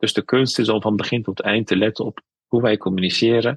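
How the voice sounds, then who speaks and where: A man speaks with ordinary pitch variation in a dry, close sound with no echo. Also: quiet background. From Netherlands, North Brabant (Veghel), Turkish roots. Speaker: spiritual caregiver and imam. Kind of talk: interview.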